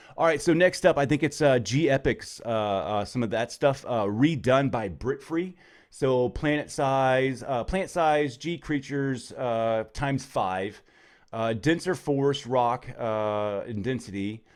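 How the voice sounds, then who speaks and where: A man at a fairly slow pace with ordinary pitch variation, on a very clean recording with a silent background. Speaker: gaming YouTuber. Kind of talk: casual gameplay commentary. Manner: many filler words, hesitant. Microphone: good microphone.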